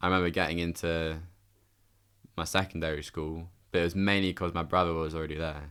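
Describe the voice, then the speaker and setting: On a very clean recording with a silent background, a man with a very deep, low pitch talks at a very fast pace in a monotone, flat intonation, with long pauses coming often. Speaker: woodworker and furniture maker. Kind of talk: casual podcast interview.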